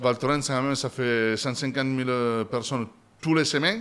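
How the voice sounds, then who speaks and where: This man speaks with an Italian accent at a medium pitch. His pace is moderate and his pitch varies in an ordinary way. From Italy. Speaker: restaurant owner and chef. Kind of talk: interview answer. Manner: loud.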